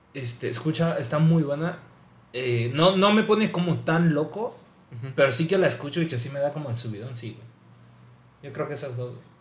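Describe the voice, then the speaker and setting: Over noticeable background noise, a man talks at a fairly high pitch with lively intonation and big swings in loudness. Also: moderate pace. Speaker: aspiring music producer. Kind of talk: casual chat.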